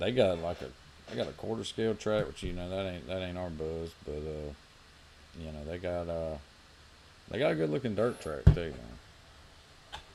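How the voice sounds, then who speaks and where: A man with a very deep, low, dark and mellow voice in a Southern US accent, lively intonation at a moderate pace, and long, frequent pauses. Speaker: RC racing podcast co-host. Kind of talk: casual chat.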